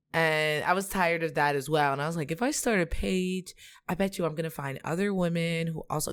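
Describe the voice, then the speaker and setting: A plain, everyday voice with ordinary pitch variation, on a very clean recording with a silent background. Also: woman. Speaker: content creator. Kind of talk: casual chat.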